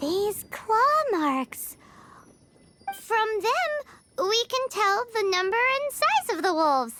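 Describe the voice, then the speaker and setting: Someone puts on a character voice with an extremely high pitch and a very slow pace. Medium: video game. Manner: confident, hasty, slightly bluffing.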